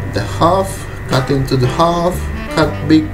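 Clear music plays in the background as a man speaks with a non-native accent. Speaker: private chef. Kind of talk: cooking tutorial talk to camera. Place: kitchen. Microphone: camera far.

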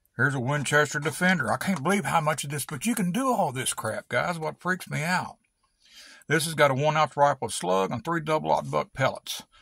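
A man with a bright, sharp, relaxed tone speaks at a fairly quick pace with lively intonation, in a dry sound with no echo and a quiet background. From Kentucky. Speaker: hobbyist video maker. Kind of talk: casual vlog show-and-tell. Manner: relaxed, rambling with fillers. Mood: relaxed, folksy. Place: workshop. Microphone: phone near.

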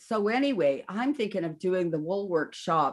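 Delivered at a moderate pace, the speech sits over a quiet background. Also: woman. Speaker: remote interview guest. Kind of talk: interview answer. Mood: warm, laughing. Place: home room.

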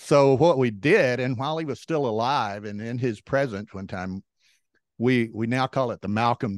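A Texan accent at a moderate pace with ordinary pitch variation, in a dry sound with no echo against a quiet background. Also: man. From Texas, Beaumont; Texas. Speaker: backgammon tournament director and commentator; commentator. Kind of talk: casual interview. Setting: video call. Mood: friendly, relaxed storytelling. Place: home room. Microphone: handheld.

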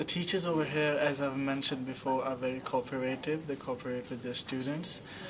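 A man's fairly high voice with fairly even intonation, amid noticeable background noise. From Pakistan. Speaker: international student. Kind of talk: testimonial interview. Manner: hesitant, filler words. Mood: positive, relaxed.

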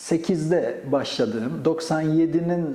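At a fairly slow pace, a man talks in an unremarkable speaking voice with a fairly high pitch. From Gaziantep, Turkey. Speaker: astrophysicist, professor. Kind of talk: oral history interview answer.

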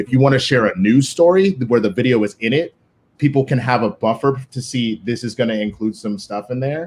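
Ordinary pitch variation marks this man's speech. He talks at a fairly quick pace. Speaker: co-manager of a competitive team; guest. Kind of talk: live-streamed panel discussion. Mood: serious, earnest. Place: home room. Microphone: video call.

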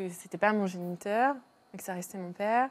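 Her pitch sits in the medium range for a woman, and this woman's voice moves with ordinary pitch variation. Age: 20s. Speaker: donor-conceived person; guest. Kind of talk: testimony. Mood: calm, personal, earnest. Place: studio.

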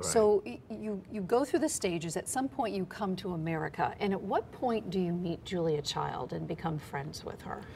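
A woman at medium pitch, moderate pace and hardly any pauses, over light background noise. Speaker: TV news interviewer. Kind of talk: TV interview. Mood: relaxed, curious. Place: studio. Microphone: lapel.

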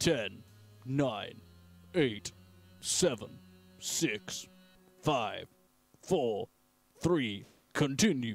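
A man's put-on character voice at medium pitch, very slow, with lively intonation, long and frequent pauses, and music in the background. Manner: booming, dramatic countdown.

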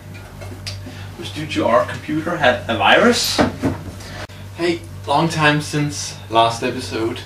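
Very slowly and with long, frequent pauses, a man speaks against noticeable background noise. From Denmark. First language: Danish. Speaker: hobbyist car builder. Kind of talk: tutorial. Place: workshop. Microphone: camera far.

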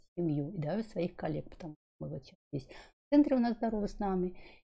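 A woman speaks at a medium pitch and a moderate pace, her somewhat breathy voice carrying a dark, mellow tone and lively intonation over a quiet background. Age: 50s. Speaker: wellness blogger. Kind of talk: vlog monologue. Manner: casual, rambling. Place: home room. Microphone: studio mic.

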